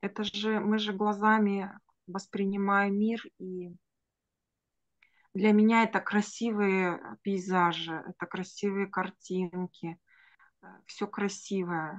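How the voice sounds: At a slow pace, a woman talks in a medium pitch with little pitch movement.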